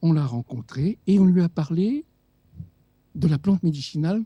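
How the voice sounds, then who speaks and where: This man has a dark, mellow tone at a fairly high pitch, with lively intonation and a dry, close sound with no echo. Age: 70s. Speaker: doctor and author. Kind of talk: radio interview. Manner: animated.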